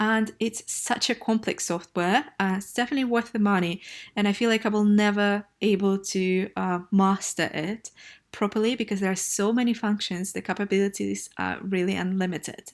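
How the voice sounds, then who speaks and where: In a very clean recording with a silent background, a woman with a Russian accent speaks at medium pitch and a moderate pace with fairly even intonation. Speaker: travel blogger. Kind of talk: vlog. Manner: casual with filler hesitations.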